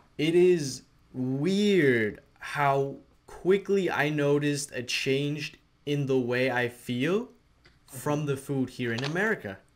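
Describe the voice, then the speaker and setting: The speaker talks at a very slow pace with ordinary pitch variation. Noticeable background noise is present. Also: man, fairly high pitch for a man. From Denmark. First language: Danish. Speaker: podcast host. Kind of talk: casual chat. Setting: podcast interview.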